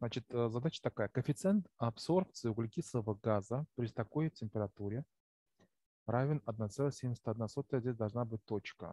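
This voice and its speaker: A man talks at a fairly slow pace in a medium-pitched voice with a dark, mellow tone. His delivery is somewhat breathy, with ordinary pitch variation. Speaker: chemistry teacher. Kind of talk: lecture. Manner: halting. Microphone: poor recording quality.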